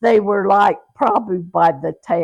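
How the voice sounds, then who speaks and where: A woman speaks with an American accent and vocal fry. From Utah, rural (Hanksville area). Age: 80s+. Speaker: grandmother telling her life story. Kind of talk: oral history interview. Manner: halting, with self-corrections.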